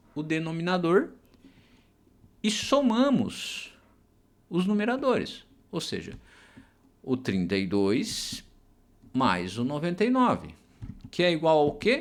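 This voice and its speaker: With audible room echo, a man speaks at a high pitch and a very slow pace. His pitch swings are very wide. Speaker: math teacher. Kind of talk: lecture. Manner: hesitant fillers (é, tá).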